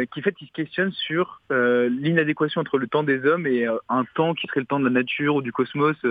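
An ordinary speaking voice from a man, moderate in pace, with ordinary pitch variation. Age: 20s. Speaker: bookseller and literary critic. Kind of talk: recorded segment, book review. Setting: phone call.

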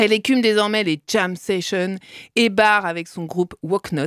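A woman speaks at a medium pitch with ordinary pitch variation. Her pace is moderate, and the sound is dry and close with no echo. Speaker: radio co-host. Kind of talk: satirical radio chronicle and casual chat. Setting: radio studio.

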